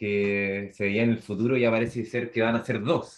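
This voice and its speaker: A man talks in a Chilean accent at a fairly low pitch. His intonation stays fairly even. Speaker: podcast co-host. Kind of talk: casual chat.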